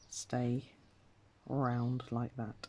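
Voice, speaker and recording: The voice is soft-spoken. The words come out mumbled. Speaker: embroidery crafter. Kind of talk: tutorial. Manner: mumbling.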